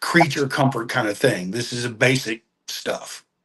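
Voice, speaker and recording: A man speaks in an American accent. His voice is somewhat breathy. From Texas, Galveston. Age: 60s. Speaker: long-distance walker. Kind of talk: podcast interview.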